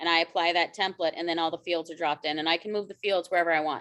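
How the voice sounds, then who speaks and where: A woman's fairly low-pitched voice with a bright, sharp tone at a very fast pace. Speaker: real estate broker and trainer. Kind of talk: training webinar.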